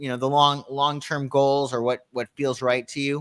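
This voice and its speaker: Here a man talks in a plain, everyday voice. His pitch is fairly high and his pace is moderate. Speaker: astrologer. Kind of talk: casual chat.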